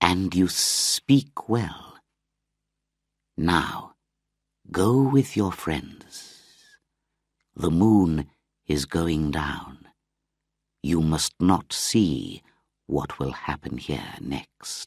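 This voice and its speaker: A man puts on a character voice with a very deep, low pitch, very wide pitch swings and a hissing quality. He talks at a very slow pace with long, frequent pauses, in a very clean recording with a silent background. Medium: read story. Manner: slow, hissing.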